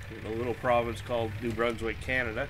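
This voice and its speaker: A man speaks at medium pitch in a relaxed tone. Noticeable background noise and audible room echo surround him. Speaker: gaming streamer. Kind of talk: live gameplay commentary. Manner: casual, relaxed.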